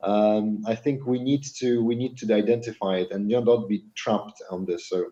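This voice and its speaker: In a Polish accent, a man speaks at medium pitch. His tone is dark and mellow. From Poland. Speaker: podcast co-host. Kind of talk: casual chat.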